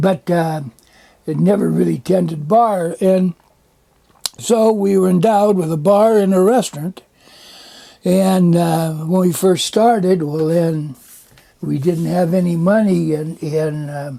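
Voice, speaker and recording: Long, frequent pauses break up speech that has ordinary pitch variation. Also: man, high pitch for a man. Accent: American. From California. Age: 80s+. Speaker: ex-Marine and former resort owner. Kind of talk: casual chat. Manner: halting.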